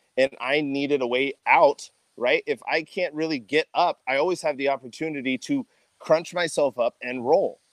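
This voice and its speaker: A man with an American accent and a fairly high pitch, at a moderate pace, in a dry, close sound with no echo. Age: 20s. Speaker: athletic trainer. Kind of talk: casual chat. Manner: animated.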